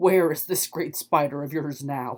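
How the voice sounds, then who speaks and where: A put-on character voice growls at a middle pitch. The pace is moderate. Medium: read story. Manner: proud, regal.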